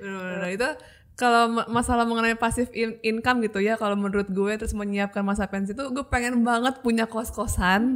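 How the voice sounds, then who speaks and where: Speaking at a very fast pace, a woman keeps her fairly high-pitched intonation fairly even. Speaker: podcast host. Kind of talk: casual podcast chat.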